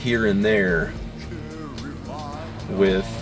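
A man's fairly low voice, dry and echo-free, over noticeable background noise. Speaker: vlogger. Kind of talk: casual vlog chat. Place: home room. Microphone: phone near.

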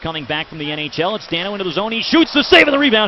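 A man talks at a very fast pace with very wide pitch swings, the sound dry with no echo and light noise behind him. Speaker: hockey play-by-play announcer. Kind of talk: live sports commentary (hockey play-by-play). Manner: fast, excitable, rising pitch on goals; clipped, rapid-fire play-by-play delivery. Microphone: headset.

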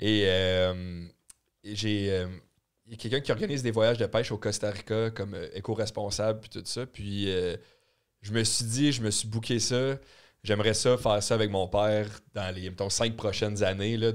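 A man talks at a moderate pace in a fairly low pitch, his intonation fairly even. Long, frequent pauses break up his speech against a quiet background. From Quebec. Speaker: podcast co-host. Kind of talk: casual chat. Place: studio. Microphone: studio mic.

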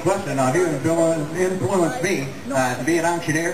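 Against noticeable background noise, a man talks at a moderate pace. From Iowa, USA. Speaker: auctioneer, contest finalist. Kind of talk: interview answer. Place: stage.

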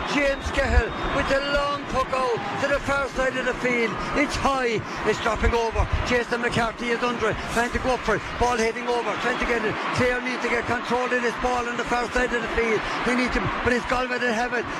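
A man talks at a fairly quick pace, his voice dry with no echo over loud background noise. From Ireland. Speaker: radio sports commentator. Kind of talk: live sports commentary. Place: booth.

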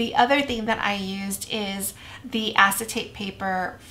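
A woman speaks at a fairly slow pace with fairly even intonation. Her tone is bright and sharp. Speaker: craft tutorial host. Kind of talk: tutorial.

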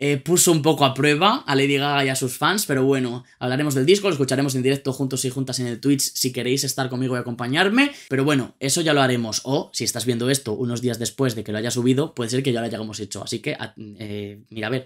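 A man talks at a very fast pace with hardly any pauses and ordinary pitch variation, over a quiet background. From Spain. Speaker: music youtuber. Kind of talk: album review monologue. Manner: animated. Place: home room.

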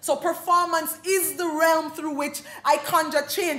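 A woman talks at a high pitch. Audible room echo surrounds her voice. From Jamaica. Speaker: dub poet, playwright-performer. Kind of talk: keynote address, performative lecture. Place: hall. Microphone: podium.

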